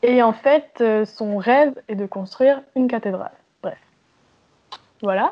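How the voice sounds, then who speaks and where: A woman talks at a very slow pace in a high voice. She leaves long, frequent pauses. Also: ordinary pitch variation. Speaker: amateur stage actor. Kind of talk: casual chat. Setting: Skype call. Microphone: poor Skype recording audio.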